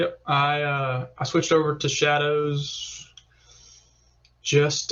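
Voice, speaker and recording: A man with a Southern US accent, fairly high in pitch, at a very slow pace. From US South, Alabama (Tuscaloosa). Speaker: competitive pistol shooter. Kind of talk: podcast interview. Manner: casual, many fillers.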